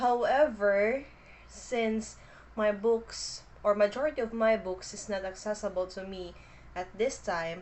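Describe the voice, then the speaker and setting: Someone with a Filipino accent speaks at a fairly slow pace with ordinary pitch variation. The loudness swings widely. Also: woman, fairly high pitch for a woman. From Philippines. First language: Filipino language. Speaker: booktuber. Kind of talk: casual vlog introduction. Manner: hesitant, with fillers.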